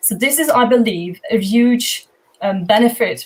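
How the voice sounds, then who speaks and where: A woman speaks with a German accent and a fairly high pitch. Her pitch variation is ordinary. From Germany. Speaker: project founder. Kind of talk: panel discussion.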